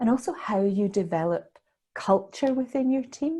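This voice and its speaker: In a Scottish accent, a woman speaks at a moderate pace with lively intonation and a dark, mellow, somewhat breathy tone. The recording is very clean, with a silent background. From Scotland. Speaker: leadership consultant and mentor. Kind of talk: podcast interview answer.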